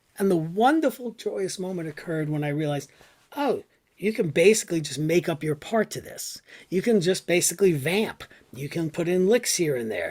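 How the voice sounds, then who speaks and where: A man with an American accent talks at a moderate pace in a high pitch, with lively intonation and an animated tone. The recording is very clean, with a silent background. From US Northeast, New York City. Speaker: classical guitarist and music professor. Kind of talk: lecture.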